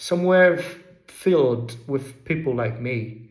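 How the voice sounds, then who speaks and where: A man speaks at a very slow pace in a fairly high pitch, with lively intonation. Audible echo fills the room. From England, Derbyshire. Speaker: vlogger. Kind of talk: personal essay narration.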